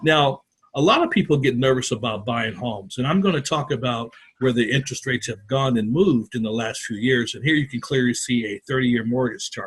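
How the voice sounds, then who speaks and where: Somewhat breathy, fairly quick speech from a man at a mid-range pitch, its pitch varying in an ordinary way. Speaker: mortgage loan officer. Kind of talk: workshop presentation. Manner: fast.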